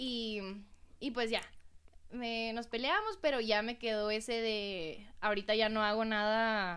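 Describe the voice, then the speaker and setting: Here is a woman with an ordinary speaking voice and a fairly high pitch. Her pace is fairly slow and her intonation fairly even. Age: 20s. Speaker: dessert shop owner. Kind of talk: casual interview chat.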